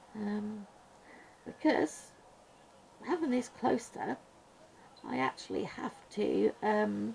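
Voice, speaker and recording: A woman with a British accent at a very slow pace, long, frequent pauses and noticeable background noise. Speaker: colouring YouTuber. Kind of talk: casual chat while colouring. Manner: soft-spoken, sometimes mumbling; hesitant, many ums.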